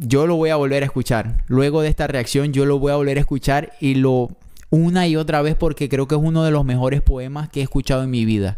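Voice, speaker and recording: Against a quiet background, a man speaks at a fairly quick pace. His pitch is fairly high. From not Mexico, foreign to Mexico. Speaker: reaction youtuber. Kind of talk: reaction video, casual commentary. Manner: emotional, moved, animated. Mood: moved, emotional. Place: home room. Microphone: studio mic.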